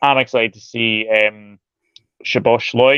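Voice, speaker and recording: At a moderate pace, a man with a Scottish accent talks with a dry, close sound and no echo. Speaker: football channel host. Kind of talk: casual chat.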